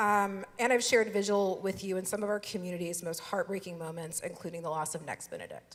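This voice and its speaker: A woman with an American accent speaks at a fairly quick pace with ordinary pitch variation, over noticeable background noise. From Texas. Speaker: lawyer, keynote speaker. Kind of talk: keynote speech. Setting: stage with audience.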